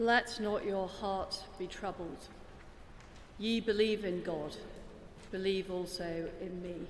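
Amid audible room echo and light background noise, a woman speaks at a very slow pace. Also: fairly even intonation. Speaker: reader of the lesson. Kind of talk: formal scripture reading. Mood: solemn, measured. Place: church. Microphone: podium.

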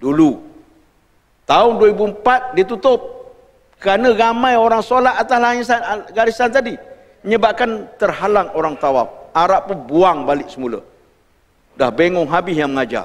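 With long, frequent pauses and very wide pitch swings, a man speaks high for a man at a fairly slow pace. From Malaysia. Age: 60s. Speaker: religious teacher. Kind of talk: lecture. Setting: mosque. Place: hall.

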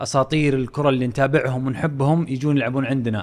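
A man with a Saudi accent talks at a fairly quick pace in a monotone, flat intonation. The background is quiet. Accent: Saudi Gulf Arabic. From Saudi Arabia. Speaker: football podcast host. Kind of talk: casual sports talk. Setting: studio. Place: studio. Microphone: studio mic.

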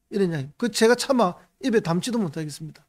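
A man with a high pitch speaks at a very fast pace in an animated tone with lively intonation, against a quiet background. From South Korea. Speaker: politician. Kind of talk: political commentary monologue. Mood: critical, indignant. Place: studio. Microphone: studio mic.

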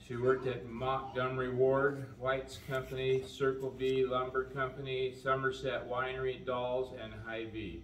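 In an American accent, a man talks at a moderate pace with hardly any pauses and a monotone, flat intonation, with audible room echo and light background noise. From US Midwest, Iowa. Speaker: eulogist reading an obituary. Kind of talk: graveside-style eulogy, reading the obituary aloud then sharing personal memories. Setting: outdoors at a memorial gathering with mourners. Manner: plain, unpolished reading with frequent 'uh' and 'um' hesitations over names; folksy and gently humorous, warmly sad when reminiscing. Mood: solemn, calm. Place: hall. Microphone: camera far.

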